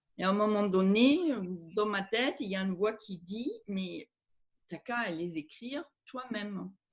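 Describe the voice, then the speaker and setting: Ordinary variation marks the pitch. The delivery is fairly slow. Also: woman. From Germany. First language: German (speaking French). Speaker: aromatherapist and author. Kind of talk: interview. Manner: hesitant, many fillers.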